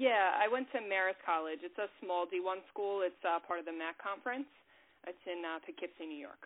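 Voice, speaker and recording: At a moderate pace, a woman talks in a normal speaking voice of medium pitch with ordinary pitch variation. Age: 20s. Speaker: mental health counselor. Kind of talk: casual interview.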